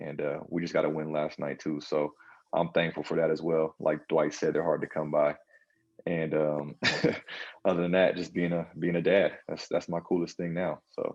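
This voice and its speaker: A man speaks with an American accent in a very deep, low voice. His delivery is monotone and flat at a moderate pace. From Southern California. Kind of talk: casual chat. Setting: video call.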